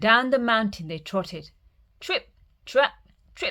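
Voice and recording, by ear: The intonation here is lively. It comes from reading aloud in a natural voice.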